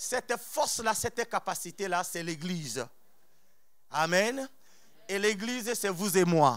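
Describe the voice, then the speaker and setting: A man's high-pitched voice with lively intonation, at a very slow pace with long, frequent pauses, in a very clean recording with a silent background. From outside France. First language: not French (speaking French). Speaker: preacher. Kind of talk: sermon. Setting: church. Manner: animated.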